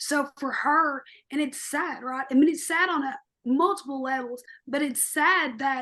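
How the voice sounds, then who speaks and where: Loud and high-pitched, a woman talks fairly slowly with fairly even intonation against a quiet background. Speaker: podcast co-host. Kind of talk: podcast discussion. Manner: loud, outspoken.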